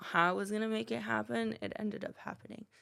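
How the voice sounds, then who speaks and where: Animated in tone, a woman at medium pitch talks at a fairly quick pace with very wide pitch swings. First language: not English. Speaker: salon owner and cosmetologist. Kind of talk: podcast interview.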